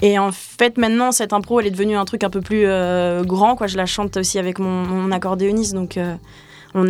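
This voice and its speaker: A woman with a medium-pitched voice talks at a fairly quick pace in a flat, monotone delivery. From France, Brittany area. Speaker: singer-songwriter and violinist. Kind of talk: radio interview. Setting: radio studio. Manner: casual, hesitant.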